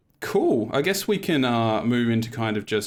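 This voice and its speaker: Here a man speaks with an Australian accent. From Tasmania, Australia. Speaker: game developer, panel moderator. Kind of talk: panel discussion.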